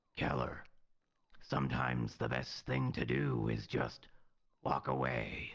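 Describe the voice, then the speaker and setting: Putting on a character voice, a man speaks in a very deep, low, raspy tone with monotone, flat intonation at a fairly slow pace, leaving long, frequent pauses. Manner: put-on character voice.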